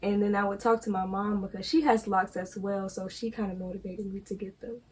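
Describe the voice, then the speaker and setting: Somewhat breathy, a woman's medium-pitched voice moves at a moderate pace with fairly even intonation. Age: young. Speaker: college student, granddaughter of the host. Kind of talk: interview.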